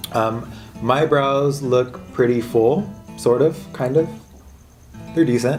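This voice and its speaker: A man at medium pitch speaks at a very slow pace with long, frequent pauses, ordinary pitch variation and very even loudness, with music in the background. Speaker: makeup artist. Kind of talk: casual talk to camera.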